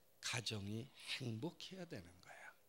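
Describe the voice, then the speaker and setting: A man speaks with a Gyeongsang accent. His pitch swings very widely. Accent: Gyeongsang Korean. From South Korea, Daegu (Gyeongsang). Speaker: pastor and professor. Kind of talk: sermon. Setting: church. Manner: animated.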